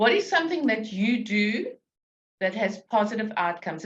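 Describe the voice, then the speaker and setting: Her pitch fairly high and swinging very widely, a woman talks at a fairly quick pace in a somewhat breathy voice. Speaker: business coach. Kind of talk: webinar presentation. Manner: step-by-step instructive.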